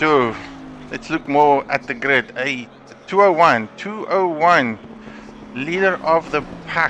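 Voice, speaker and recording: Very slow speech from a man with a fairly high pitch and ordinary pitch variation, long, frequent pauses and noticeable background noise. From South Africa. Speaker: esports race commentator. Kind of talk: live commentary. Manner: hesitant, frequent fillers and repetitions.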